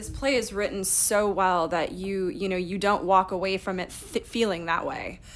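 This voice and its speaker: With a plain, everyday voice, a woman talks at a moderate pace and medium pitch with ordinary pitch variation and hardly any pauses. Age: 40s. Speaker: actor. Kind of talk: interview.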